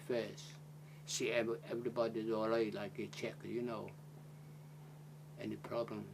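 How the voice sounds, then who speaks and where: A man is speaking. He has a Chinese accent. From China, Zhejiang province. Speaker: retired Blue Funnel merchant seaman, interviewee in oral history. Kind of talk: interview answer. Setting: oral history interview.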